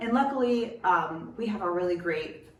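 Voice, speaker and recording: A woman talks in an animated tone, with audible room echo and noticeable background noise. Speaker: podcast co-host. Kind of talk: casual chat. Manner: fast.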